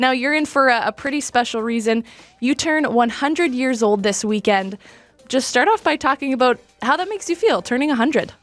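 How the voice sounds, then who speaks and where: Over music in the background, a woman talks at a fairly quick pace with high pitch and lively intonation, the sound dry and close with no echo. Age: 20s. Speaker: interviewer. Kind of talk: interview question.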